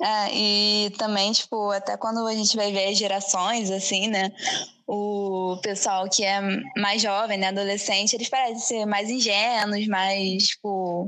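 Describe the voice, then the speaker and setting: An unremarkable speaking voice from a woman, medium in pitch, at a fairly slow pace. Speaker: podcast host. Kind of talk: casual chat.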